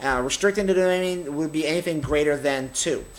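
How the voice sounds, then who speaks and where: Here a man speaks at a fairly slow pace. His intonation is lively. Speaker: math teacher. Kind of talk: tutorial.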